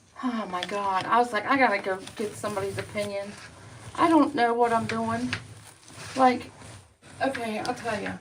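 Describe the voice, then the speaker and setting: Over noticeable background noise, a woman with a fairly high pitch and ordinary pitch variation speaks with long, frequent pauses. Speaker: vlogger. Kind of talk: casual chat. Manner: fast.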